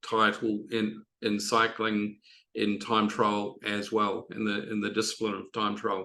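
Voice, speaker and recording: In a New Zealand accent, a man with a medium pitch and a bright, sharp tone speaks at a moderate pace over a quiet background. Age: 60s. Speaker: triathlon coach. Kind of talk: podcast interview. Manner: halting, many fillers.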